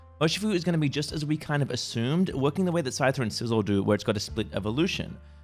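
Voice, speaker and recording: A man at medium pitch and very fast pace, with music in the background. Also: lively intonation. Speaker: gaming YouTuber. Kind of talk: gaming news commentary. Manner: halting, many fillers and restarts.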